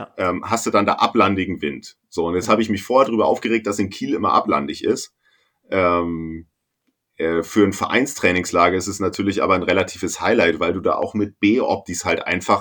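A man with an ordinary speaking voice talks at a moderate pace and fairly low pitch, with ordinary pitch variation. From northern Germany. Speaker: sailing podcast co-host. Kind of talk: casual chat.

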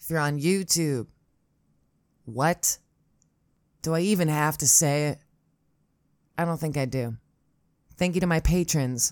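In a very clean recording with a silent background, a woman with an American accent talks at a very deep, low pitch and a fairly slow pace, with long, frequent pauses. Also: ordinary pitch variation. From Upstate New York, Syracuse. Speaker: podcast host and storyteller. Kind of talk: solo storytelling monologue. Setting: home recording setup. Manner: rambling, self-deprecating, halting with fillers.

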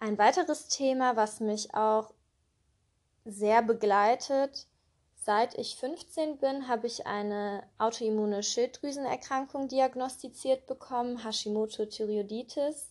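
Speaking very slowly in a calm, gentle tone, a woman keeps a high pitch with ordinary pitch variation. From Germany, Cologne. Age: 20s. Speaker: podcast host. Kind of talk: personal monologue.

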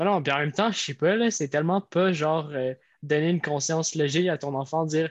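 With a Quebec accent, a man speaks at a very fast pace in a fairly high voice with fairly even intonation, the sound dry and close with no echo against a quiet background. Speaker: podcast co-host. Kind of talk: casual chat.

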